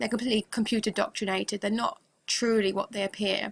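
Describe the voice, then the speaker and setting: At a very fast pace, a woman talks in a monotone, flat intonation with vocal fry. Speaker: religious video blogger. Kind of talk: religious monologue to camera.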